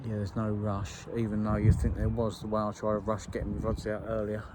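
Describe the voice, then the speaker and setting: A man's fairly low, monotone, flat voice at a moderate pace, with audible room echo. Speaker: carp angler vlogger. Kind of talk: casual vlog talk to camera. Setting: outdoors by a lake. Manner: hesitant, many fillers.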